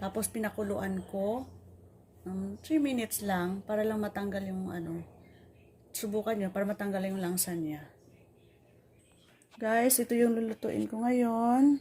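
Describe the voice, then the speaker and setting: Speaking with a Tagalog accent, a woman uses a medium pitch, ordinary pitch variation and a dark, mellow tone. Her somewhat breathy delivery includes long, frequent pauses. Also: moderate pace. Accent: Filipino (Tagalog). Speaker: home cook. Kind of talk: cooking tutorial.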